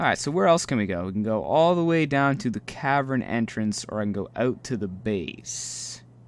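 A man with lively intonation and an animated tone, hardly any pauses, in a dry sound with no echo. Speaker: gaming YouTuber. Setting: solo recording while playing a game. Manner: animated, jokey, sarcastic; when reading the in-game text, slower and more measured, serious and formal. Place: home room. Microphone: headset.

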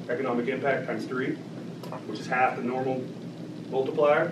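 A man speaking in an American accent keeps a moderate pace, with noticeable noise in the background. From Oklahoma (Watonga, northwest); Oklahoma. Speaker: political campaign director; guest. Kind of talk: talk and Q&A at political meeting. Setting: meeting room with audience. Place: meeting room. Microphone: camera far.

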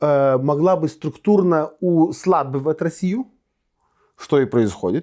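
With a Lithuanian accent, a man speaks in a dark, mellow tone. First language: Lithuanian (speaking Russian). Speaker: politician. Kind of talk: interview. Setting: studio. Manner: halting.

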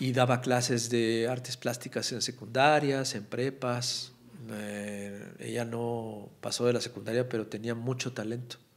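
A man speaks at a fairly slow pace, keeping his intonation fairly even. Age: 40s. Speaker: political cartoonist; podcast guest. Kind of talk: casual chat. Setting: studio. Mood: relaxed, warm, smiling. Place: studio. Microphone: studio mic.

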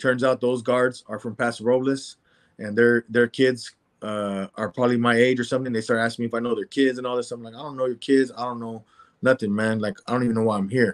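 Against a quiet background, a man speaks at a very fast pace in a monotone, flat intonation. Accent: American. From San Jose, California; California. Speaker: former prisoner; interview guest. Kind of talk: interview testimony. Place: home room. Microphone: video call.

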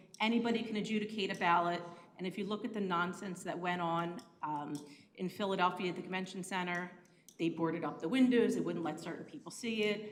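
A woman with an American accent at a very fast pace, ordinary pitch variation and audible room echo. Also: medium pitch for a woman. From Pennsylvania, Bucks County. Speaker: public commenter. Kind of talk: public comment at council meeting. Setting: county commissioners meeting.

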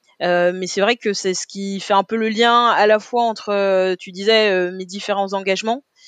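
Against a quiet background, a woman of medium pitch speaks at a moderate pace with hardly any pauses and monotone, flat intonation, the sound dry and close with no echo. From Paris, 18th arrondissement. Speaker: retired Olympic sprinter and deputy mayor. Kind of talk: interview. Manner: hesitant, many fillers.

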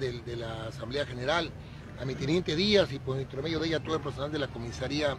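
A man talks at a very fast pace with ordinary pitch variation. Crowd noise fills the background, and the sound is dry with no echo. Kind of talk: interview answer. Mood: grateful, upbeat. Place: open country. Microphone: handheld.

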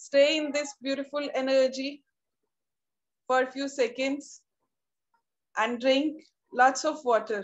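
Against a quiet background, a woman with a high pitch talks at a very slow pace, with fairly even intonation and long, frequent pauses. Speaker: meditation guide. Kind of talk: guided meditation. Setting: video call. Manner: slow, calm, soothing. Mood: calm, soothing, smiling. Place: home room. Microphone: video call.

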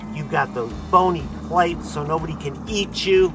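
With music in the background, a man speaks fairly slowly in an upbeat tone, the sound dry with no echo. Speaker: fish biologist. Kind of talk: playful pep talk to fish. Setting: outdoors. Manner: upbeat, encouraging. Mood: warm, joking, affectionate. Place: waterside. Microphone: phone near.

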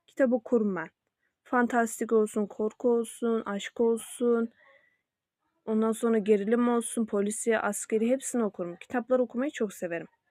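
A moderate pace with fairly even intonation. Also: woman, fairly high pitch for a woman, dry, close sound with no echo. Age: young. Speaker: YouTuber. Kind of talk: casual vlog self-introduction. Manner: hesitant with fillers.

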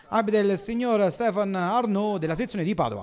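At a fairly quick pace, a man with a high pitch speaks in an energetic, animated tone. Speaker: football match commentator. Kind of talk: live-style sports commentary, recapping match highlights. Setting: voiceover on match footage. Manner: brisk, animated play-by-play delivery, rattling off minutes, names and scores; punchy, energetic, rising on goals.

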